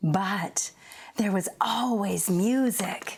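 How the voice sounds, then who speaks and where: In a Canadian accent, a woman speaks at a medium pitch on a very clean recording with a silent background. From Canada, Edmonton. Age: 60s. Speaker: performer. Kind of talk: stage monologue.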